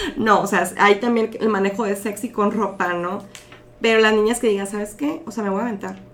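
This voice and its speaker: With fairly even intonation and a fairly quick pace, the speaker has a plain, everyday voice. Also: woman, medium pitch for a woman. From Mexico, Mexicali (Baja California). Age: 30s. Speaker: model and modeling agency manager. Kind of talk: casual interview.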